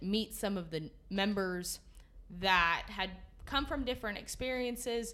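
With an American accent and a bright, sharp tone, a woman talks at a moderate pace with lively intonation as audible room echo surrounds her. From Northern California. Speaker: retiring youth livestock association director. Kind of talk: casual interview.

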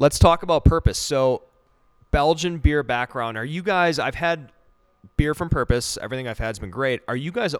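Here a man uses a normal speaking voice at a fairly quick pace. His intonation is lively, and his loudness swings widely. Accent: American. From Wisconsin. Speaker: podcast host, brewer. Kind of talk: casual chat. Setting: brewery barrel cellar.

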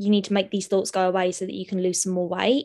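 A woman with a southern English accent speaks with fairly even intonation. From southern England, Sutton (London). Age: 20s. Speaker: university student. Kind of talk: interview testimony.

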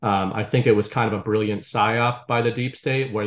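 Against a quiet background, a man uses a normal speaking voice at a moderate pace with ordinary pitch variation. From US Northeast, Boston area. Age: 30s. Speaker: writer and content creator. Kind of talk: casual chat.

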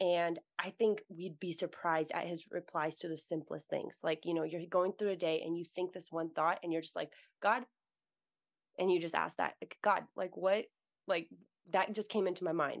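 Against a quiet background, a woman talks at a moderate pace with a fairly low pitch in a plain, everyday voice. Her intonation is fairly even, and the sound is dry and close with no echo. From US, Russian-born. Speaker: writer and podcaster. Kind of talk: casual faith conversation.

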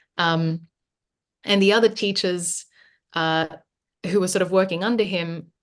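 Her accent is Australian and her pitch is medium. She speaks at a moderate pace. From Western Sydney, Australia (moved from Philippines at nine). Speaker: painter. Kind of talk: casual chat.

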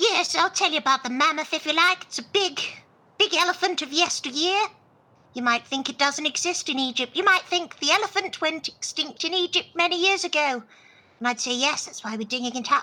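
The woman's pitch is high and her intonation lively. She moves at a fairly quick pace. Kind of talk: comic improvised radio-play acting. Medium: audio drama.

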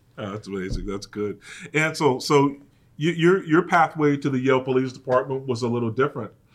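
A man with an American accent and an ordinary speaking voice, medium pitch, ordinary pitch variation, and a fairly quick pace. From Connecticut, US (New Haven area). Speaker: police chief and podcast host. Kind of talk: interview.

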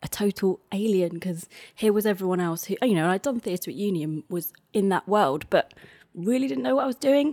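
A woman with a London accent at a fairly quick pace, on a very clean recording with a silent background and a dry, close sound with no echo. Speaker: playwright. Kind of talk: casual interview. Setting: her flat.

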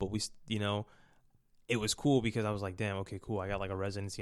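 Very fast, monotone, flat speech with an American accent on a very clean recording with a silent background. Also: man. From US East Coast, Baltimore. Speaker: drummer. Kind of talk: casual chat.

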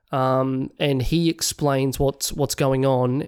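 Spoken with an Australian accent, this very clean recording has a silent background. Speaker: podcast co-host. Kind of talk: casual chat.

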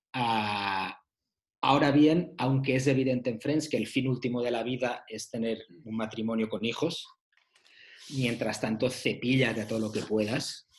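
Fairly slow and at medium pitch, a man talks in a plain, everyday voice. His intonation is fairly even. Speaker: author discussing his book about the 90s. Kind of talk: casual chat.

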